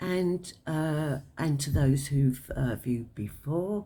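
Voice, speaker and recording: This woman has a London accent and a very deep, low pitch. Her tone is dark and mellow, and her intonation is lively. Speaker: tarot reader. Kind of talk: tarot card reading to camera. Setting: at home, cards on a table. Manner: hesitant, many filler words.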